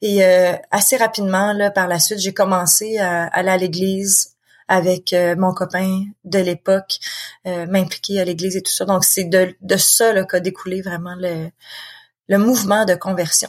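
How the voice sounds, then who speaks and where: Fairly slow, flat, monotone speech in a Quebec accent. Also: woman, medium pitch for a woman. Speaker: author and founder of support association. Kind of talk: interview conversation.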